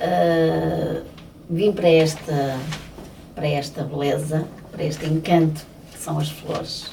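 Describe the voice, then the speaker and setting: A woman with a European Portuguese accent speaks very slowly in a very deep, low voice, with monotone, flat intonation and long, frequent pauses. The recording has audible room echo and noticeable background noise. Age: 60s. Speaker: florist. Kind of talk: interview. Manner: hesitant, with many fillers.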